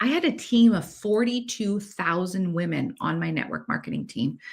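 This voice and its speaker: On a very clean recording with a silent background, a woman with a Canadian accent and a medium pitch speaks at a moderate pace, somewhat breathy, with lively intonation. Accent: Canadian, says 'eh' a lot. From Canada. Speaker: podcast host, manifestation coach. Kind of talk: personal story monologue. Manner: casual, with filler words.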